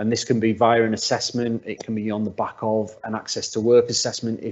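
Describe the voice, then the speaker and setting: A man speaks in a monotone, flat delivery with a northwest English accent. His medium pitch pairs with a fairly quick pace. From northwest England. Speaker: workplace assessment specialist. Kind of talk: webinar presentation. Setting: video call. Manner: halting, many repeated words.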